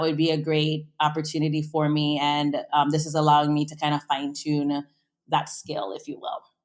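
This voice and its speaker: In a slight West Indian accent, a woman speaks fairly quickly in an energetic tone on a very clean recording with a silent background. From US Virgin Islands (St. Croix). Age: 30s. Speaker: food and travel entrepreneur. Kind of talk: interview.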